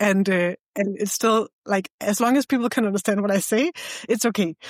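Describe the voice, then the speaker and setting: The speaker talks at a moderate pace with a Danish accent. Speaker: podcast host. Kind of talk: casual chat.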